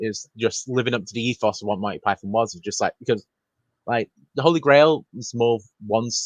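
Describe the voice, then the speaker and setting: A man with a British accent at a medium pitch, fairly quick, ordinary pitch variation, big swings in loudness, dry and close with no echo. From Britain. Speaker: film podcast guest. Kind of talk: casual chat.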